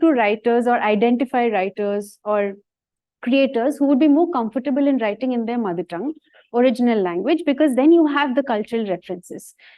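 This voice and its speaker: In a Bengali accent, a woman talks fairly quickly at a high pitch with lively intonation. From India, Bengali-speaking. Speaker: science communicator. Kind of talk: talk with Q&A.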